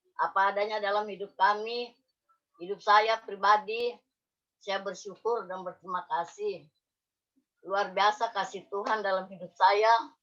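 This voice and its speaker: The speech is fairly slow and monotone, flat in intonation, yet swings widely in loudness. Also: woman, medium pitch for a woman. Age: 60s. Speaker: church member. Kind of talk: testimony. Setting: video call.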